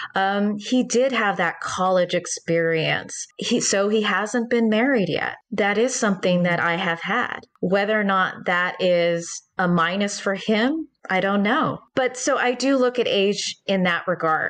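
The woman has an unremarkable speaking voice at a medium pitch with ordinary pitch variation. Her loudness stays very even at a fairly slow pace. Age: 40s. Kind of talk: interview.

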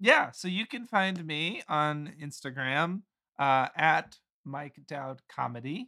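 A man speaks at a very slow pace in a fairly high voice with lively intonation. His loudness swings widely. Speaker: podcast guest, host's boyfriend. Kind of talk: casual chat. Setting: in person with host.

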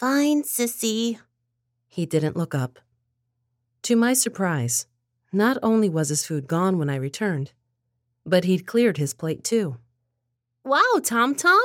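On a very clean recording with a silent background, a woman speaks at medium pitch with very wide pitch swings. Her pace is fairly slow, broken by long, frequent pauses. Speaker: story narrator. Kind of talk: scripted narration.

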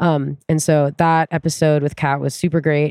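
A woman with an American accent speaks in a very deep, low voice with a dark, mellow tone. Her intonation is flat and monotone, and the sound is dry and close with no echo. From US Pacific Northwest (Tacoma, Washington). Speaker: climbing gym route setter and coach. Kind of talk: casual chat. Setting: in person.

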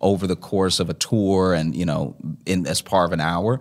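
A man speaks with a very deep, low pitch on a very clean recording with a silent background. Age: 30s. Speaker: stand-up comedian. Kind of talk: casual chat.

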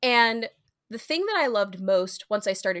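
Using an ordinary speaking voice, a woman with an American accent talks at a moderate pace with ordinary pitch variation. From US Midwest. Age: 30s. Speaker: plus-size fitness professional. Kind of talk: interview, personal story.

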